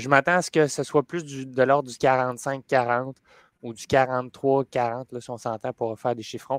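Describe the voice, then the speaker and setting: The recording is very clean, with a silent background. The speech is very slow and monotone, flat in intonation, with big swings in loudness. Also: man, medium pitch for a man, dry, close sound with no echo. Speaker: hockey panelist. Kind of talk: casual sports panel chat.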